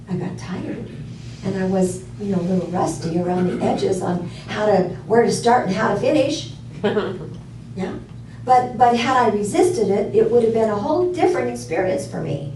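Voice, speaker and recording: A woman speaks at medium pitch and a moderate pace. Her pitch swings very widely over noticeable background noise. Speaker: minister. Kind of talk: sermon talk to congregation. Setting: live in a room with audience.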